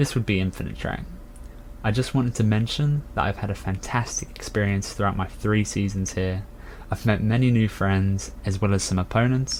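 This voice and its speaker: A man speaks with a British accent at a moderate pace. His pitch is fairly low, with ordinary variation. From UK. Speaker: racing game player introducing himself. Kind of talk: prepared self-introduction.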